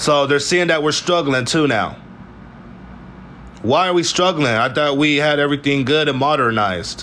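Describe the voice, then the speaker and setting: A man with a fairly high pitch and an animated tone, with ordinary pitch variation, very even loudness and long, frequent pauses. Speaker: political commentary vlogger. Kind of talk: news recap monologue. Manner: fast.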